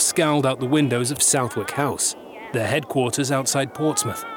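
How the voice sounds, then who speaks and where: Solemn tone from a man at a fairly high pitch, fairly even intonation and moderate pace, with noticeable background noise. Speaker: documentary narrator. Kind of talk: history documentary narration, scripted and dramatic. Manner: measured, solemn, steady storytelling pace.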